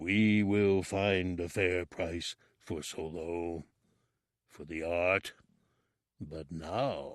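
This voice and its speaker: In a put-on character voice, a man rumbles at a very deep, low pitch and a very slow pace, with long, frequent pauses. His intonation stays fairly even while his loudness swings widely. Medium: read story. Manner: slow, regal, speaks of himself as we.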